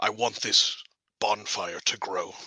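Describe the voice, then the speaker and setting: A man does a put-on character voice that is raspy and pitched extremely high for a man. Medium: actual play. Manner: earnest, determined.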